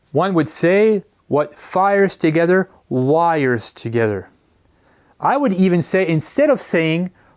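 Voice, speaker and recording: At a fairly slow pace and high pitch, a man with a Quebec accent uses lively intonation and very even loudness in a very clean recording with a silent background. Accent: French Canadian accent in English. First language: French. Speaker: educator. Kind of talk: lecture.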